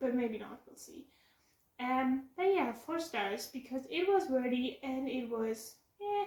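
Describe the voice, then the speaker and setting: A woman's high voice with a German accent, fairly slow, with lively intonation and big swings in loudness. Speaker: book vlogger. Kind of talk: casual vlog review. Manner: halting.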